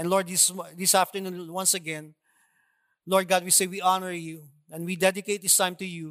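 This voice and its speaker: In a Filipino accent, a high-pitched man speaks in a monotone, flat way with long, frequent pauses, on a very clean recording with a silent background. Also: moderate pace. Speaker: preacher. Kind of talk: sermon. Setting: church with congregation.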